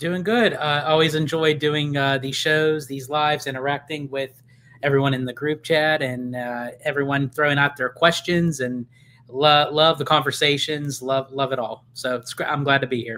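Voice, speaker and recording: Speaking in an American accent, a man with a fairly high pitch and a bright, sharp tone keeps a moderate pace and fairly even intonation. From Pennsylvania. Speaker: theme park content creator. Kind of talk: casual live Q&A chat.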